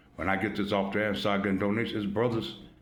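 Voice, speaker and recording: A man's fairly low voice with vocal fry, in audible room echo. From US Midwest, Chicago. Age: 60s. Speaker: YouTube commentator. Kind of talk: casual monologue. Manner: animated.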